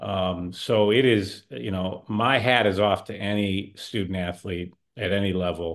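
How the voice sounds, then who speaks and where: Speaking at a fairly slow pace with hardly any pauses, a man uses a fairly low pitch and ordinary pitch variation. The recording is very clean, with a silent background. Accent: Chicago. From Chicago area. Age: 50s. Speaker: podcast co-host. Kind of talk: casual chat.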